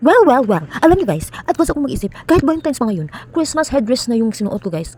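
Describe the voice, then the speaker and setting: A woman's lively intonation and very fast pace come through noticeable background noise. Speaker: vlogger. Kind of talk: vlog voice-over. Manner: soft-spoken.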